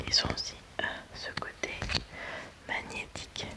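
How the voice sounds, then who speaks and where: Over noticeable background noise, a woman whispers in a calm tone at a very slow pace. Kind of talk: ASMR roleplay as a toy shop saleswoman. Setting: studio, close-mic ASMR recording. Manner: soft, calm, slow, relaxing.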